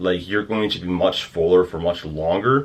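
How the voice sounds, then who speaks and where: A man with a very deep, low pitch and ordinary pitch variation. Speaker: fitness coach. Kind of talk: tutorial. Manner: fast; hesitant with many fillers.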